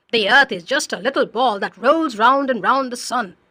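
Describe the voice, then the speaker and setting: A female-sounding voice speaks at a fairly high pitch. It is a put-on character voice. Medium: read story. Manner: patient, explanatory.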